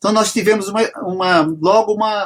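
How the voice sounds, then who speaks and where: A man talks at a moderate pace. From São Paulo, Brazil, raised in Bahian household. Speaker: singer-songwriter. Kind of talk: interview conversation. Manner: halting, with many restarts.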